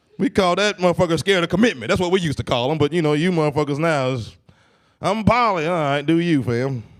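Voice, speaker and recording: Talking fairly quickly in an American accent, this man lets his pitch swing very widely. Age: 30s. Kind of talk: stand-up. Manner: casual, halting.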